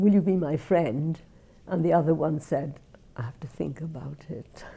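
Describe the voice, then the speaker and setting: In a Welsh accent, a woman speaks at a fairly slow pace with a fairly low pitch, a dark, mellow tone and ordinary pitch variation. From Wales, Merthyr Tydfil. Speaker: Holocaust refugee interviewee. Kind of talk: oral history interview. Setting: filmed interview.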